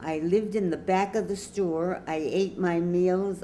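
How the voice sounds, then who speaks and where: Speaking in an American accent, a woman with a fairly low pitch and a dark, mellow tone talks at a fairly slow pace with fairly even intonation, with audible room echo around her. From New York City, Lower East Side. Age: 90s. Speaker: grandmother web show host. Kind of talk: personal storytelling monologue.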